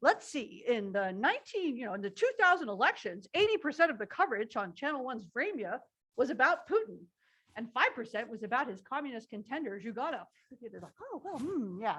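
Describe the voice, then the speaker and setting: Fairly quick and bright, sharp in tone, a woman's high voice makes very wide pitch swings. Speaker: professor. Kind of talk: lecture. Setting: livestreamed lecture hall with audience. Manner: fast.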